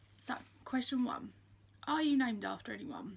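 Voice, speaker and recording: A woman's voice with vocal fry, in an Essex accent. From Essex, England. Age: 20s. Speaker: YouTuber. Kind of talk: casual chat. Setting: standing in front of Disney collection.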